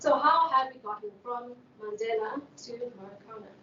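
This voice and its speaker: Amid audible room echo, a woman with a high pitch and fairly even intonation speaks at a moderate pace. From South Africa, Western Cape. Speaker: sociologist. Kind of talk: keynote lecture. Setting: conference.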